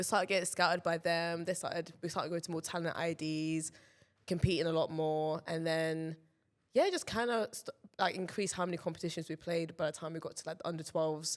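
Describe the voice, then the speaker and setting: The speaker has a London accent and moves at a fairly quick pace. The intonation is monotone and flat. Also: woman, fairly low pitch for a woman. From London, England. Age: 20s. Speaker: professional tennis player. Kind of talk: casual chat. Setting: studio.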